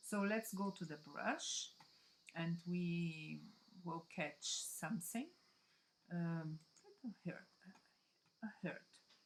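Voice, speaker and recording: A woman with a fairly low pitch and a somewhat breathy voice speaks very slowly, with ordinary pitch variation and long, frequent pauses. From Brazil. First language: Portuguese. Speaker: digital scrapbooking designer. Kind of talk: tutorial. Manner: halting.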